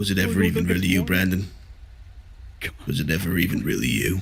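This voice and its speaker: A man uses a put-on character voice, raspy and very deep. He talks very fast over clear background noise. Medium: game stream. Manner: menacing, crude, swaggering.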